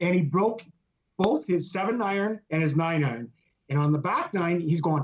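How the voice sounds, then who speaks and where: A man talks at a moderate pace in a high pitch. His loudness stays very even. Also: ordinary pitch variation. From Northern Ontario, Canada (Sudbury). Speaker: business founder. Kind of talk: casual interview.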